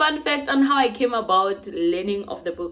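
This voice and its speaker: Her pitch swings very widely as a woman talks through noticeable background noise. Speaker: book vlogger. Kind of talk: casual vlog talk. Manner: fast; stumbling over words.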